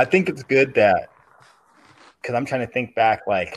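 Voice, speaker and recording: Delivered at a middling speed, the voice is an unremarkable speaking voice. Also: man. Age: 40s. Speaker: podcast guest, basketball fan. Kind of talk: casual chat.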